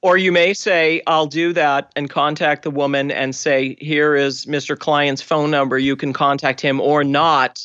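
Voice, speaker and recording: An American accent at a fairly slow pace with hardly any pauses. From Boston, US. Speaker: forensic genealogist.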